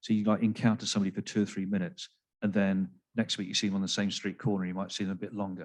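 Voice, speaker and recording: Speaking in an English accent, a man goes at a very fast pace. His pitch is fairly low and his intonation fairly even. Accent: English accent, noticeable. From England, Devon. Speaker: psychiatrist. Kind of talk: panel discussion. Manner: halting, many fillers and repeats.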